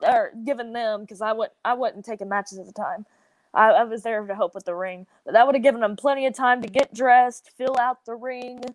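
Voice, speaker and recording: A woman in a Southern US accent speaks at a fairly quick pace, with big swings in loudness. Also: fairly high pitch for a woman, ordinary pitch variation, dry, close sound with no echo. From US South. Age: 20s. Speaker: professional wrestler. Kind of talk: podcast interview.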